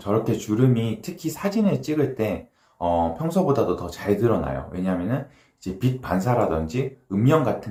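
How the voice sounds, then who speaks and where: A man's somewhat breathy voice, fairly low and dark and mellow in tone, moves through very wide pitch swings. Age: 30s. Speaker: dermatologist. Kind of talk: casual talk to camera. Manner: casual, with filler sounds.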